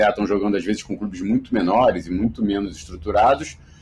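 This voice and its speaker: With an unremarkable speaking voice, a man talks at a fairly quick pace and a fairly low pitch. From Rio de Janeiro, Brazil. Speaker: sports media executive. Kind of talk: interview.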